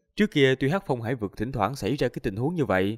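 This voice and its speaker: A man speaks with very wide pitch swings. The sound is dry with no echo, and the background is quiet. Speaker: audiobook narrator. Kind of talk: story reading narration. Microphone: studio mic.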